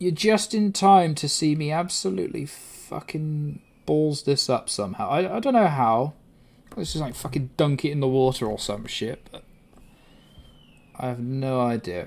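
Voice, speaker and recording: This voice has a British accent and very wide pitch swings. The pace is moderate. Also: man, fairly high pitch for a man. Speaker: livestreamer. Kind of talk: casual chat. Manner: loud at times.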